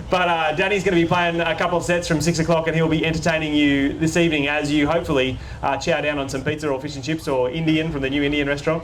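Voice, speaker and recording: Very fast and with hardly any pauses, a man with an Australian accent speaks in a fairly high, flat monotone, with audible room echo and noticeable background noise. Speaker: local councillor and event host. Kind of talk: public event hosting and interview. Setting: outdoor stage with audience in a park.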